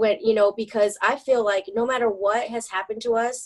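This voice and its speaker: A woman with an American accent talks at a fairly quick pace. Hers is a plain, everyday voice with a fairly high pitch. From Michigan, US. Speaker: church worship and events director. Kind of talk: testimony.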